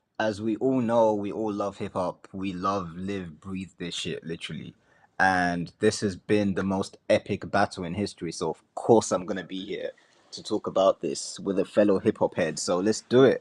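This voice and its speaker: With an African accent, a man talks with fairly even intonation and big swings in loudness, the sound dry and close with no echo. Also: fairly low pitch for a man, moderate pace. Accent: African accent, UK-based. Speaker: rapper. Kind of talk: casual chat.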